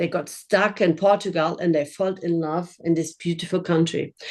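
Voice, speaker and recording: With a German accent, a woman speaks at a moderate pace. Her pitch is fairly low and her intonation fairly even. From Germany. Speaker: winery owner. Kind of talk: virtual tasting presentation. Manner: halting.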